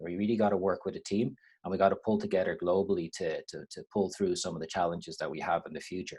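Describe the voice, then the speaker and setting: Against a quiet background, a man talks at a very fast pace with an Irish accent. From Ireland. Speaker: university lecturer. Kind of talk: webinar lecture. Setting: online webinar with screen share.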